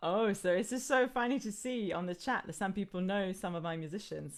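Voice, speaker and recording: A woman's medium-pitched voice with lively intonation and an Israeli accent. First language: Hebrew. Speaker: singer and workshop leader. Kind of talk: live online music workshop talk. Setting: live video stream. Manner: animated.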